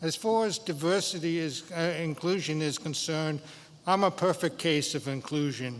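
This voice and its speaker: A man at a fairly high pitch and fairly slow pace, with ordinary pitch variation and music in the background. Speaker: school board candidate. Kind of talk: candidate forum debate.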